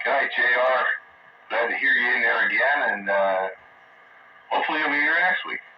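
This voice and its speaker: A man talks at a fairly quick pace over noticeable background noise. He takes long, frequent pauses. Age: 60s. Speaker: amateur radio net host. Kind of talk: casual chat.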